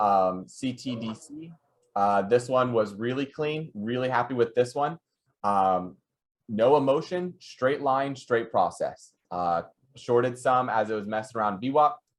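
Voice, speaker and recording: With lively intonation, this man delivers his words at a middling speed. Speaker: day trader on a trading podcast panel. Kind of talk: casual chat reviewing trade charts. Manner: halting, many fillers.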